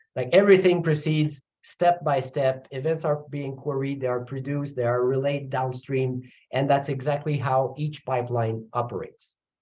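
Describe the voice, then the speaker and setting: A man with a Quebec French accent speaks at a moderate pace, his fairly high, somewhat breathy voice keeping a fairly even intonation. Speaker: computer science professor. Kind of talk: technical lecture. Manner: halting, with fillers and repeats.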